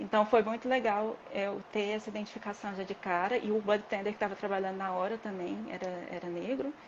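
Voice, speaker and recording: Speaking at a fairly quick pace with hardly any pauses, a woman uses a plain, everyday voice at medium pitch with fairly even intonation. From Brazil. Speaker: dispensary worker, former massage therapist. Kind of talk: interview.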